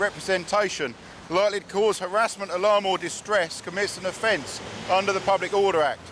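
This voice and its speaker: Loud and high-pitched, a man speaks at a moderate pace. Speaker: traffic police officer. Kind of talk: roadside police stop. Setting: outdoors. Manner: formal.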